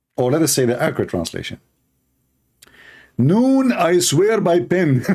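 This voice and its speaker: Speaking with an Arabic accent, a man with a high pitch and a dark, mellow tone keeps a moderate pace and very even loudness while making very wide pitch swings. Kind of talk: polemical livestream monologue. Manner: animated, mocking.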